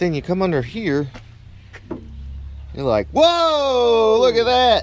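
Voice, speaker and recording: In a room with audible echo, a man with a high voice talks very slowly, with long, frequent pauses, very wide pitch swings and big swings in loudness. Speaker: car YouTuber. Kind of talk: casual vlog to camera. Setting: home garage. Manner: quiet, keeping voice down.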